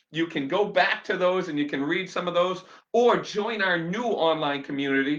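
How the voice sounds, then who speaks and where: Shouting in a raised, projected voice, a man speaks at a fairly slow pace with a high pitch and an animated tone. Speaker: chiropractor/health vlogger. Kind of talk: live-stream rant to viewers. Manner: loud, shouting; animated, fired up.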